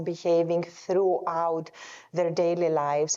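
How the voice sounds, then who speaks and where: A woman speaks with a Greek accent. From Greece. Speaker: epidemiologist and health researcher. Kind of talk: panel discussion. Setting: conference stage with audience.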